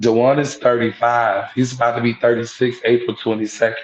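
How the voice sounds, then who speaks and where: Intonation stays fairly even as a man talks in a medium pitch. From Atlanta, Georgia. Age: 30s. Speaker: interview guest. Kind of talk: interview. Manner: halting.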